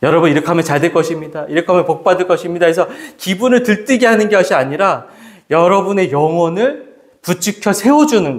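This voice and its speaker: A man is speaking. His pace is fairly quick. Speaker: pastor. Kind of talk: sermon. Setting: church.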